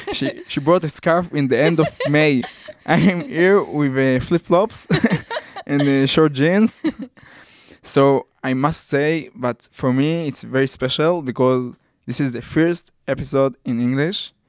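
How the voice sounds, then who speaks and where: This man's voice sits fairly high in pitch, with ordinary pitch variation. He speaks at a fairly slow pace. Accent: Israeli. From Israel. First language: Hebrew. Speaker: podcast host. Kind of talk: casual interview.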